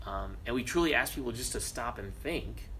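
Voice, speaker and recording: Audible room echo can be heard around the speaker. The voice belongs to a man. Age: 20s. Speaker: city council candidate. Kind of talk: interview.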